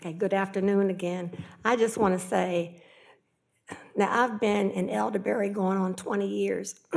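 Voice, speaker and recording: A woman with medium pitch and an ordinary speaking voice, fairly even in intonation, at a moderate pace. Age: 60s. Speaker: resident speaking at public comment. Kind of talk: public comment.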